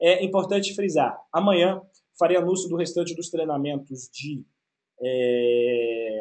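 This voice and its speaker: The man's intonation is lively. His voice is high-pitched. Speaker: IT course instructor. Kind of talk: webinar Q&A. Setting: online webinar broadcast. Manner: fast.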